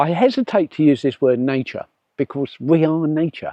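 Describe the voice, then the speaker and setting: A man talks in a southern English accent at a moderate pace. His tone is dark and mellow. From southeast England. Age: 70s. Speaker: nature vlogger. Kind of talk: casual vlog monologue. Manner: halting, with repeated words and fillers.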